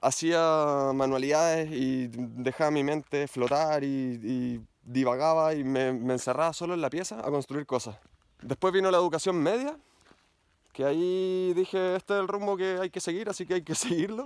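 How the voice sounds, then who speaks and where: A fairly high-pitched man with a Chilean accent, with ordinary pitch variation and a dry sound with no echo. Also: moderate pace. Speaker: mountain bike YouTuber. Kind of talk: personal vlog monologue. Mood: earnest, reflective. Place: forest. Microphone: phone near.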